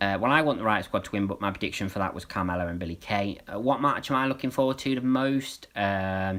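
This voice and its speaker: Speaking at a very fast pace, a man with a British accent talks in a fairly low pitch. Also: ordinary pitch variation, hardly any pauses. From UK. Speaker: wrestling streamer. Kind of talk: live stream watch-along chat. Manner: hesitant, many fillers.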